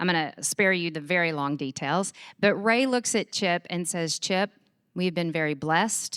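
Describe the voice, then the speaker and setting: Someone with a Texas accent speaks in an animated tone at a moderate pace. The sound is dry and close with no echo, and the recording is very clean with a silent background. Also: woman, fairly low pitch for a woman, ordinary pitch variation. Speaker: charity executive. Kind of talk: conference talk. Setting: stage with audience.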